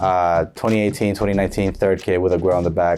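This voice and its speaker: Over background music, a man with an American accent and a very deep, low pitch speaks very fast with fairly even intonation. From United States. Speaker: football shirt collector, video creator. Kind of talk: casual show-and-tell vlog. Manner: casual, rambling.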